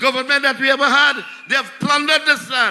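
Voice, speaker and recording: A man speaks in a raised, projected voice at an extremely high pitch. Music plays in the background. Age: 70s. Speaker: local councillor. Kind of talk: political rally speech.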